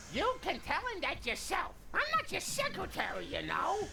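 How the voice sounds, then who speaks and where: Using a put-on character voice, a woman speaks at a moderate pace over clear background noise. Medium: video game. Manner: doting, muddled.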